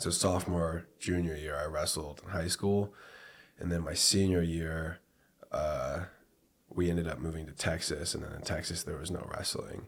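Speaking in a monotone, flat intonation with an American accent, a man with a very deep, low pitch is heard against noticeable background noise. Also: moderate pace. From US Pacific Northwest (Port Angeles, Washington). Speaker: professional MMA fighter. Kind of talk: casual interview.

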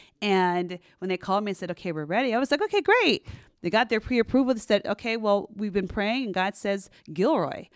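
A woman with an American accent talks at a fairly quick pace in a normal speaking voice, her pitch medium with ordinary variation. The recording is very clean, with a silent background. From US West Coast, San Francisco Bay Area. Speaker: realtor. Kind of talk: casual interview.

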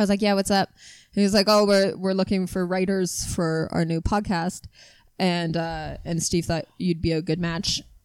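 A woman with a Canadian accent speaks in a plain, everyday voice at medium pitch and a moderate pace, with fairly even intonation, on a very clean recording with a silent background. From Canada. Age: 30s. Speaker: comedian. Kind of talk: casual chat.

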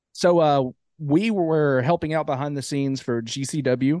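A man speaks with an Alabama accent and ordinary pitch variation. The sound is dry and close with no echo, over a quiet background. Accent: Southern US (Alabama). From Alabama, US South. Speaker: wrestling ring announcer. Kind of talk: casual interview chat.

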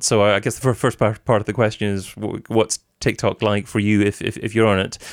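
A man speaks at a fairly quick pace in an ordinary speaking voice, his pitch fairly low. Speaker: podcast host. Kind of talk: scripted intro then interview chat.

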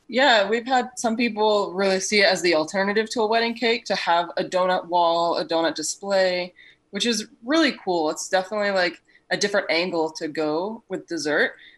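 A woman talks at a moderate pace with lively intonation and medium pitch. It is an ordinary speaking voice. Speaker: donut business owner. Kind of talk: casual interview.

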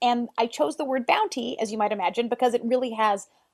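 This woman has a fairly high pitch and an unremarkable speaking voice. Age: 40s. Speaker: artist and filmmaker. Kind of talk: interview.

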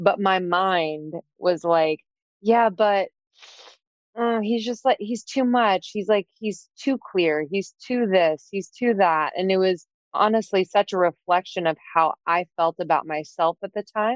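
A woman with an American accent speaks at a fairly slow pace in a plain, everyday voice. Her medium pitch varies in an ordinary way, and the sound is dry and close with no echo. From Pennsylvania, north of Philadelphia. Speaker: entrepreneur and podcast co-host. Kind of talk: casual interview.

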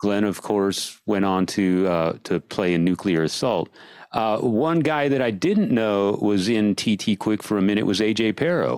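The speaker moves along at a fairly slow pace. The intonation is lively. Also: man, fairly low pitch for a man. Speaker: podcast host. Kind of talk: casual chat. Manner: enthusiastic.

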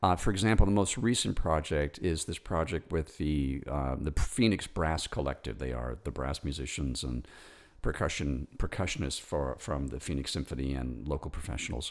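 On a very clean recording with a silent background, a man with an American accent and a very deep, low pitch speaks at a moderate pace with vocal fry and ordinary pitch variation. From New York. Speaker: composer. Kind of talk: interview conversation. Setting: at his home. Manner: halting, many repetitions.

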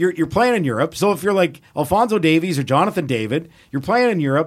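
A high-pitched man with a Canadian accent at a fairly quick pace, on a very clean recording with a silent background. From Edmonton, Alberta, Canada. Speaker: football play-by-play announcer. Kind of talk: casual chat.

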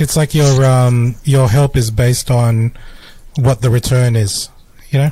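A dark, mellow, somewhat breathy voice with an Australian accent, fairly slow, with very even loudness and fairly even intonation. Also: man, medium pitch for a man. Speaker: podcast co-host. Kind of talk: casual chat.

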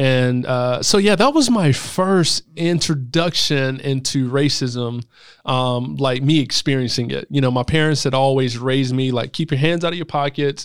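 A man with a medium pitch and ordinary pitch variation talks at a moderate pace with hardly any pauses, in a very clean recording with a silent background. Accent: South Carolina. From US South, Greenville, South Carolina. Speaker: doctoral student and speaker. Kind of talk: casual interview conversation.

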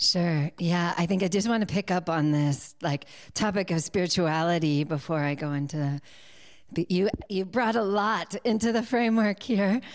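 A woman with a New England accent speaks at a fairly low pitch and moderate pace, with ordinary pitch variation. Her loudness stays very even in a very clean recording with a silent background. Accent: American, New England. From US Northeast, near Boston. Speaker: yoga teacher and coach. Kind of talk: interview.

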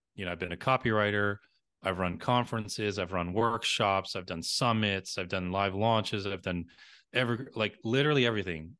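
Against a quiet background, a man with an American accent speaks at a fairly quick pace and fairly low pitch, his tone bright and sharp with ordinary pitch variation. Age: 40s. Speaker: marketing consultant. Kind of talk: interview.

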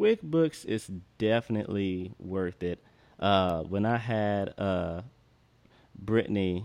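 With a very deep, low pitch and a dark, mellow tone, a man talks at a fairly slow pace with ordinary pitch variation. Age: 20s. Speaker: podcast host. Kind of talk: casual chat.

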